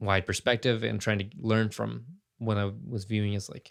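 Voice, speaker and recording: Here a man speaks at a moderate pace in a fairly low pitch. His intonation is monotone and flat, and the recording is very clean with a silent background. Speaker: podcast host, former church worker. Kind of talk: casual monologue. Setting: recording in a closet at home. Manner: halting, many fillers.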